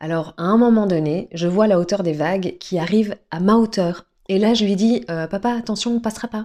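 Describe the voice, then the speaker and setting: On a very clean recording with a silent background, a woman speaks at a moderate pace. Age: 40s. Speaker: podcast guest sharing personal story. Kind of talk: personal testimony. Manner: dynamic.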